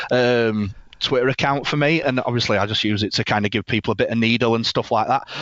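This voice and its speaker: Fairly quick male speech, medium in pitch, with ordinary pitch variation over noticeable background noise. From northern England, Leeds, West Yorkshire. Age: 40s. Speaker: rugby league fan guest. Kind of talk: casual podcast chat.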